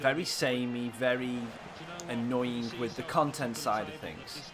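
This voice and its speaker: A man with an English accent is heard with audible room echo and noticeable background noise. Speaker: gaming streamer. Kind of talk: live game stream commentary. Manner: animated.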